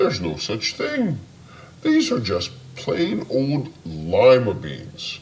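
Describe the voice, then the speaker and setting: With clear background noise behind him, a man uses a put-on character voice. He speaks at a very slow pace. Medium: read story. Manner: bright, gentle.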